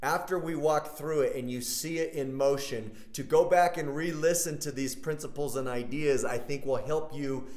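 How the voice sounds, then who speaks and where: Over audible room echo, a man talks at a moderate pace with fairly even intonation. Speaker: pastor. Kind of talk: sermon. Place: church. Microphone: camera far.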